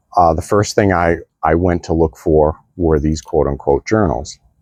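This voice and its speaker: A man with a very deep, low pitch speaks with fairly even intonation in a dry, close sound with no echo. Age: 60s. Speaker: vlogger on midlife reinvention. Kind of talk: personal storytelling monologue. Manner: halting, with many fillers.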